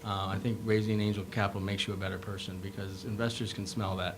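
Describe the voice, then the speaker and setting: A man with an Upper Midwest accent talks at a fairly quick pace. Audible room echo and noticeable background noise surround him. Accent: Upper Midwest American. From Minnesota, Rochester. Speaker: medical device founder, entrepreneur. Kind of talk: panel discussion. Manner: fast; animated.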